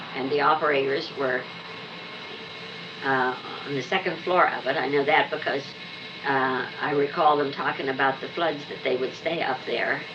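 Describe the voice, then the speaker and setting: With long, frequent pauses, a woman with a very deep, low pitch speaks at a moderate pace and fairly even intonation over noticeable background noise. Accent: American. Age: old. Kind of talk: interview answer.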